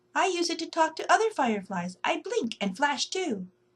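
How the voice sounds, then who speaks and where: Putting on a squeaky character voice, a woman speaks at an extremely high pitch with very wide pitch swings, at a moderate pace. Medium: read story.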